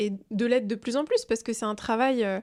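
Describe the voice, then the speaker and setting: On a very clean recording with a silent background, a woman speaks at a moderate pace with monotone, flat intonation. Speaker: entrepreneur and social media creator. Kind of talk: casual interview chat. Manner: calm.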